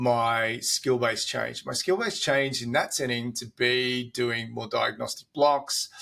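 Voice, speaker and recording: Bright and sharp in tone, a man with an Australian accent talks at a medium pitch. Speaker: doctor. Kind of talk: casual chat.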